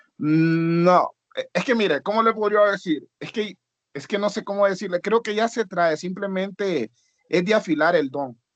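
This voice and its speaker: A man with a high voice speaks at a fairly slow pace, his pitch moving in an ordinary way, and the sound is dry and close with no echo. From Honduras. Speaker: student, rapper. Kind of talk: class discussion.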